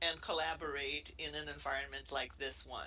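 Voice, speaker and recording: A woman with a Brazilian accent speaks at a fairly slow pace. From Brazil, Rio de Janeiro. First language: Portuguese. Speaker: professor. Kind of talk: casual chat.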